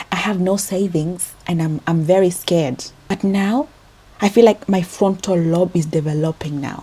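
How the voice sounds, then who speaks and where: Over noticeable background noise, a woman with a fairly low voice talks at a moderate pace with ordinary pitch variation. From Kenya. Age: 20s. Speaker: vlogger, registered nurse. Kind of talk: personal vlog confession. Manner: animated.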